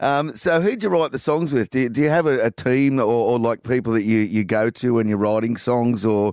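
Recorded dry and close with no echo against a silent background in a very clean recording, a man with an Australian accent speaks with ordinary pitch variation. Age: 50s. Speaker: radio host. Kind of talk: radio interview.

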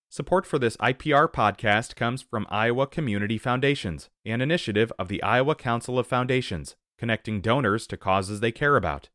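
A man with an ordinary speaking voice at medium pitch speaks at a fairly quick pace with lively intonation and hardly any pauses, in a dry, close, very clean recording with no echo and a silent background. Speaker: news reader and underwriting announcer. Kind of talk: news reading.

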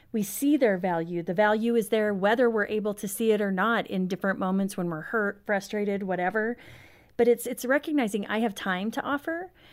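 Delivery is fairly quick in an unremarkable speaking voice, its pitch varying in an ordinary way. Nothing can be heard behind it on this very clean recording. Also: woman, fairly high pitch for a woman. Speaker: marriage ministry leader. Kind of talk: casual chat.

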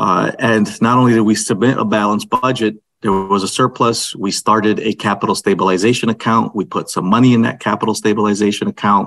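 A man rattles on at a very fast pace with hardly any pauses, his fairly low voice monotone and flat. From Holyoke, Massachusetts, US (Puerto Rican family). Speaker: city mayor. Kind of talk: interview.

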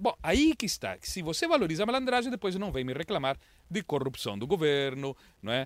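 A man's high voice with very wide pitch swings, a fairly quick pace, and a dry, close sound with no echo. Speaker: foreign correspondent journalist. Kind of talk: casual interview.

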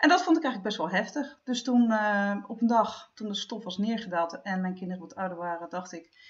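In an ordinary speaking voice, a woman talks at medium pitch and a moderate pace with lively intonation. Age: 40s. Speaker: freelance journalist and author. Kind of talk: casual chat.

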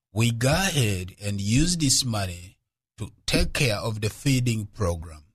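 Somewhat breathy, a man at medium pitch speaks with lively intonation. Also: fairly slow pace. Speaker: charity founder. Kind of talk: radio interview.

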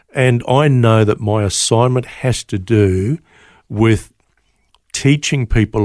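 A man with an Australian accent is heard on a very clean recording with a silent background and a dry, close sound with no echo. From Australia, mid-north coast of New South Wales. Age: 60s. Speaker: pastor. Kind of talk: testimony. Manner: halting, repeated words.

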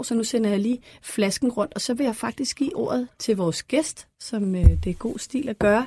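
Recorded with a dry, close sound and no echo, the speech comes in a normal speaking voice at a moderate pace with ordinary pitch variation. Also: woman. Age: 40s. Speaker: podcast host. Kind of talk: studio panel discussion. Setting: studio.

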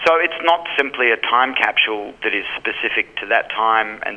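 This is a man speaking with an Australian accent. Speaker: film programmer. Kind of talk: interview. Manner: measured, with frequent fillers.

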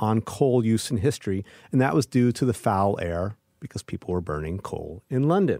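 A man's dark, mellow voice swings very widely in pitch at a moderate pace. The recording is very clean, with a silent background and a dry, close sound free of echo. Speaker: podcast host. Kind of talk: interview. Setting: studio.

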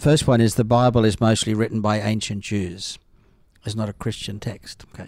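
With an Australian accent, a man talks at a moderate pace in a fairly low pitch and fairly even intonation. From Australia, northern New South Wales. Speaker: biblical scholar and priest. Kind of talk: casual discussion.

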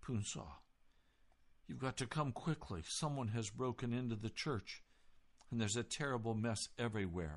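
In a strained put-on character voice, a man at medium pitch uses lively intonation at a moderate pace with long, frequent pauses. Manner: quick, strained, urgent.

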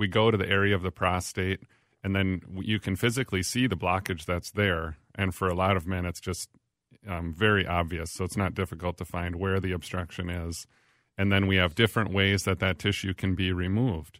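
Talking fairly quickly with an American accent, a man keeps his intonation fairly even in a very deep, low pitch. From Minnesota (Little Falls). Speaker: urologist. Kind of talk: radio call-in discussion. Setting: radio studio.

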